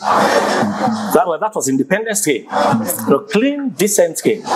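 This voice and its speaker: A man talks at a high pitch with very wide pitch swings while crowd noise carries on in the background. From Sierra Leone (Freetown). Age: 60s. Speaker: elder interviewee. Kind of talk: interview reminiscence. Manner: halting, repetitive.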